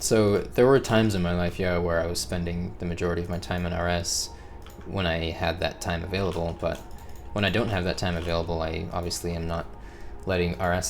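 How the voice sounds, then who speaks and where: A man with a very deep, low pitch talks at a fairly quick pace. Music plays in the background, and the room echo is audible. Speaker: gaming video creator. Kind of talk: casual monologue. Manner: monotone, not excitable; pauses to collect thoughts.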